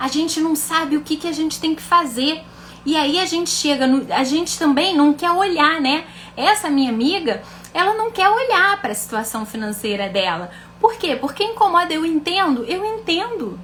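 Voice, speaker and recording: A woman's extremely high voice with very wide pitch swings, a moderate pace and noticeable background noise. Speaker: financial educator and mentor. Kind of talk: live stream teaching.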